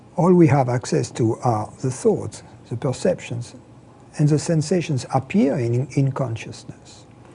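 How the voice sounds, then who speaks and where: With a French accent, the words come at a fairly slow pace. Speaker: spiritual teacher. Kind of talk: interview. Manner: halting, with repetitions.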